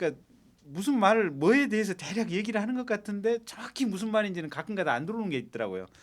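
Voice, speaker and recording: A man talks at a very fast pace in a high pitch. His intonation is lively. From South Korea, Gwangju (Jeolla). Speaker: lawyer, talk show panelist. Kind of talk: casual talk show chat.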